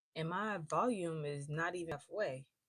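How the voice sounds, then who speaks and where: A woman with an American accent speaks loud and at a fairly slow pace. Her pitch is fairly low. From Georgia, US. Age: 20s. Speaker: live streamer. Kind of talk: casual chat.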